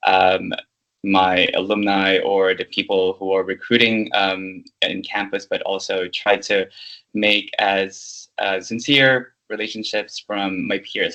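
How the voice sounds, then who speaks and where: Monotone, flat intonation with a bright, sharp tone and a non-native accent. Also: man. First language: not English. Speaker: leadership program manager, MBA alumnus. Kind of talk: interview. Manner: halting, many fillers.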